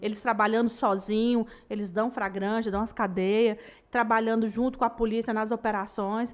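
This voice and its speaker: A woman with a normal speaking voice talks at a fairly high pitch with ordinary pitch variation, captured in a very clean recording with a silent background. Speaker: military police officer. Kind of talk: panel interview. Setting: studio.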